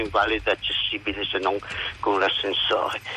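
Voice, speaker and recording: The speech moves at a moderate pace. Noticeable background noise is audible throughout. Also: man. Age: old. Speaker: retired hospital doctor, caregiver. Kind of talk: radio phone-in.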